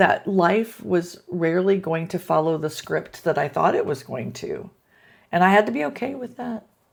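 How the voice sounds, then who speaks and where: Vocal fry colors a woman's fairly low-pitched voice. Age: 60s. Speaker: video blogger. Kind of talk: casual monologue. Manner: halting, many fillers.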